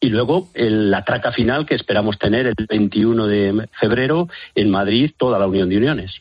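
Here a man talks at a moderate pace with very even loudness and ordinary pitch variation. It is a normal speaking voice. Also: fairly low pitch for a man. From Spain, Valladolid. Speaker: farmers' union representative. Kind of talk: phone interview.

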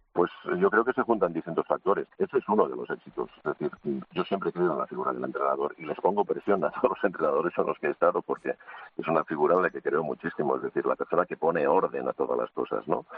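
A man at a very fast pace, over noticeable background noise. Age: 60s. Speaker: assistant handball coach. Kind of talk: radio interview.

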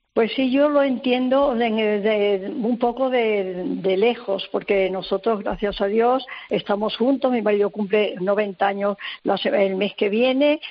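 Very slow speech from a woman at a fairly high pitch, with ordinary pitch variation. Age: 80s+. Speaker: grandmother. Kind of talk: radio interview. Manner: halting.

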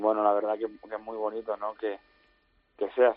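A man is speaking. His pace is moderate. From Toledo province, Spain. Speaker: novice bullfighter. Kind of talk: radio interview. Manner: halting, repeats words.

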